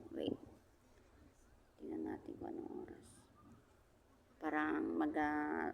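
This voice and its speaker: A soft-spoken voice talks at a very slow pace, with long, frequent pauses. Noticeable background noise and audible room echo come through. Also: woman. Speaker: vlogger, overseas Filipino worker. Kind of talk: casual vlog chat. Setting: outdoors at a beach. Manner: soft-spoken, quiet voice; halting, many fillers.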